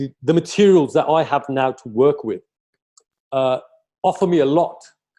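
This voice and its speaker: A man talks at a moderate pace with a dark, mellow tone. His pitch is fairly high and varies in an ordinary way. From Britain, Punjabi family. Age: 60s. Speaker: singer. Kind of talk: casual interview chat. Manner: halting, many false starts.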